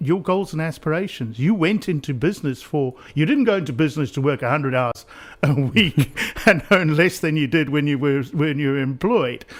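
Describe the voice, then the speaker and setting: A man speaks in a fairly high voice, his intonation lively throughout. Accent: South African. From South Africa (Pretoria), born in Essex. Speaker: business coach, former helicopter pilot. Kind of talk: radio interview. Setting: radio studio. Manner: halting, many repeated words.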